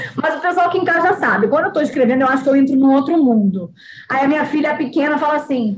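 Over noticeable background noise, a woman with a high pitch talks at a very fast pace. Her intonation is lively and her loudness very even. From Bahia, Brazil (born in Rio). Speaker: writer and former model. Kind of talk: podcast interview.

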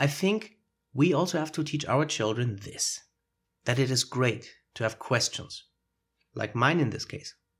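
A man with a German accent speaks at a moderate pace in a somewhat breathy voice with lively intonation. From Germany. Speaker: podcast host. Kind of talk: solo educational monologue. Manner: conversational, explanatory.

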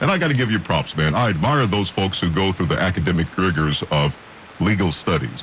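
A man's very deep, low voice moves at a fairly quick pace with lively intonation and very even loudness, over noticeable background noise. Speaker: radio co-host. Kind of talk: radio talk show. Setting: radio studio.

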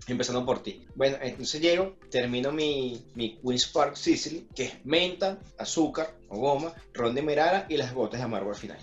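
A man with a Venezuelan accent talks at a moderate pace, his pitch fairly high with ordinary variation. There is noticeable background noise. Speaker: podcast co-host. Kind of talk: casual chat over drinks.

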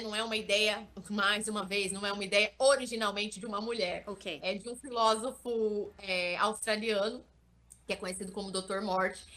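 A woman talks at a moderate pace with a bright, sharp tone and fairly even intonation. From interior of São Paulo state, Brazil (Vale do Ribeira). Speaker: digital influencer. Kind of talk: interview.

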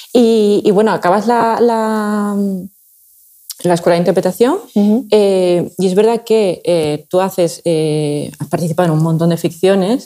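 This woman has a normal speaking voice at a medium pitch with ordinary pitch variation. She speaks at a fairly slow pace. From Seville, Andalusia. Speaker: podcast host. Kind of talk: interview conversation.

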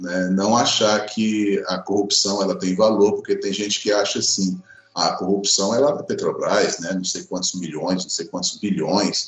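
Over noticeable background noise, a man speaks at a fairly slow pace with hardly any pauses. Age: 50s. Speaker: public spending watchdog. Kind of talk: podcast interview.

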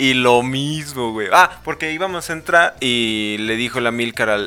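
A man's medium-pitched voice at a fairly slow pace. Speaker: podcast co-host. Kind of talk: casual chat.

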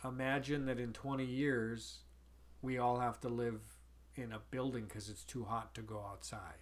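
An American accent marks this man's speech. His intonation is fairly even, and audible room echo can be heard. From US Midwest, North Dakota. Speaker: podcast co-host, father. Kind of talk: casual chat.

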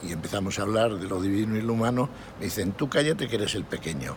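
There is noticeable background noise and audible room echo. A man speaks fairly quickly through it. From Spain, Astorga (León). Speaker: retired airline pilot. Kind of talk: interview, personal memories.

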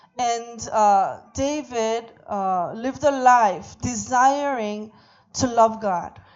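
Over audible room echo, a woman speaks very slowly in a fairly high pitch with ordinary pitch variation. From Korea. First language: Korean (speaking Vietnamese). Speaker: visiting preacher. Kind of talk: sermon via interpreter. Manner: halting.

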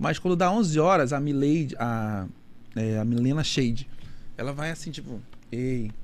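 In a room with audible echo, a man with a fairly high pitch speaks at a fairly slow pace, using lively intonation and long, frequent pauses. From Manaus, Amazonas, northern Brazil. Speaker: nightlife event producer. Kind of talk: casual interview chat.

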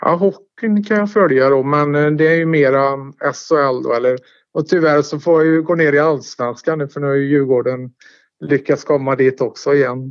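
This man has a plain, everyday voice, pitched fairly high, with ordinary pitch variation. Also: moderate pace. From Sweden, Tidaholm (Västergötland). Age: 50s. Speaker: former local resident interviewed about his life. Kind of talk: casual interview. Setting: phone call. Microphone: telephone line.

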